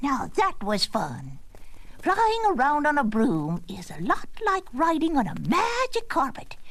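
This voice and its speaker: A female-sounding, put-on character voice, high in pitch and fairly slow, with noticeable background noise. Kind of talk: storybook narration with witch cackle. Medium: read story. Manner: theatrical, mischievous.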